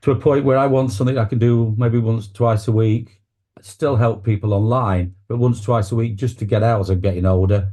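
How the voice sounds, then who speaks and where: A man with an East Midlands accent talks fairly quickly in a medium-pitched, somewhat breathy voice with a dark, mellow tone. His intonation is fairly even and his loudness very even. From England, Nottingham. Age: 60s. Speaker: public speaking coach and celebrant. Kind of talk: interview conversation.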